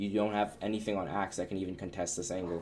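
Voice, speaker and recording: A man with a fairly low voice speaks at a fairly quick pace, his intonation fairly even. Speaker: video game coach. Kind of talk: gameplay coaching review. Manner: fast.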